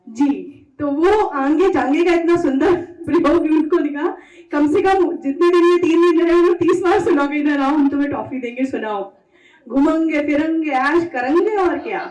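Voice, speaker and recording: Noticeable background noise behind a woman's extremely high voice with ordinary pitch variation. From Pilibhit, Uttar Pradesh, India. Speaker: radio presenter and event anchor. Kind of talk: stage compering at poetry event.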